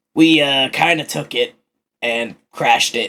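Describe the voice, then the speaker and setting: A man puts on a character voice. It sounds raspy. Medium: actual play.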